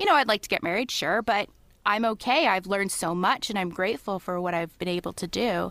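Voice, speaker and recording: A woman with a Canadian accent talks at a fairly quick pace in a bright, sharp tone, at medium pitch with ordinary pitch variation. The recording is very clean, with a silent background. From Ontario, Canada. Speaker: podcast guest. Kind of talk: casual chat.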